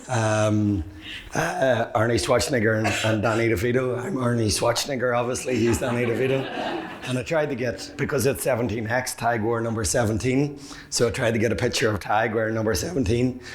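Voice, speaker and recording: Amid noticeable background noise and audible room echo, a man with an Irish accent talks at a fairly quick pace and medium pitch with ordinary pitch variation. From Ireland. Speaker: public speaker, men's mental health advocate. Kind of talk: conference talk. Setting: stage with audience. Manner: fast; hesitant with fillers.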